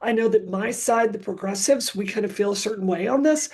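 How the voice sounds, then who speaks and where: This woman speaks at a fairly quick pace with lively intonation. Her voice is fairly high and somewhat breathy. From US South, Mississippi. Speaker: activist. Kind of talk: panel talk.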